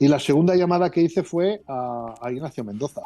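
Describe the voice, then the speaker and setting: A man speaks at a fairly quick pace with ordinary pitch variation. It is an ordinary speaking voice. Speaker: former Bible society director. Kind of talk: interview answer. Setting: phone line.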